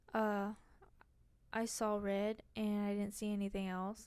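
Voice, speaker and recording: Soft-spoken woman, fairly high pitch, fairly slow pace, very clean recording with a silent background. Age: 20s. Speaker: podcast host. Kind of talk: casual monologue.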